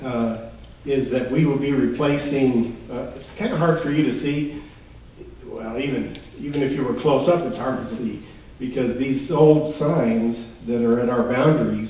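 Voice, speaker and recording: A man's medium-pitched voice at a moderate pace, fairly even in intonation, with audible room echo and noticeable background noise. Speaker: town manager. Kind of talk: council meeting report.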